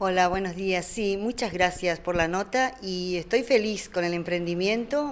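A woman speaks in a Corrientes accent at a fairly slow pace, with hardly any pauses. Her pitch is medium with ordinary variation. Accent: Corrientes accent, still kept. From Corrientes, northeast Argentina. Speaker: shop owner. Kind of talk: interview. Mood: happy, grateful. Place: shop. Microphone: handheld.

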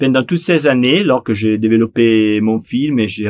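Against a quiet background, a man with a Neapolitan accent speaks at a fairly slow pace and a fairly low pitch, with ordinary pitch variation. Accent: Italian (Neapolitan) accent in French. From Italy, Naples; Italy. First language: Italian (speaking French). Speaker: film director. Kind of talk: interview monologue; interview answer. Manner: halting, frequent repetitions and hesitations.

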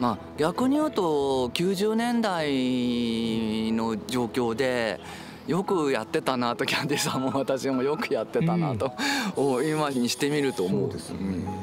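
The intonation is lively and the pace moderate. The sound is dry with no echo, over noticeable background noise. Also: man. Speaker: transgender studies researcher and university lecturer. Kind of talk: casual conversation with a friend. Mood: reflective, warm, some smiles. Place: open country.

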